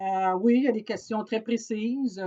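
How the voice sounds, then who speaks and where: A woman speaks at a fairly slow pace in a dark, mellow tone. Her intonation stays fairly even. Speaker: organization coordinator. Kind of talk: recorded briefing to staff. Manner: hesitant, many fillers.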